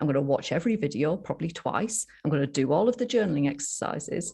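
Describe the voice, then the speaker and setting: Somewhat breathy and dark, mellow in tone, a woman with a Yorkshire accent talks at a fairly quick pace with very wide pitch swings. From northern England, Yorkshire. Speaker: sobriety coach. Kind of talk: interview storytelling. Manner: animated.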